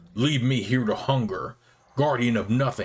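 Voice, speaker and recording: A man in a growling, put-on character voice at medium pitch speaks at a moderate pace. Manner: howling, anguished, bitter.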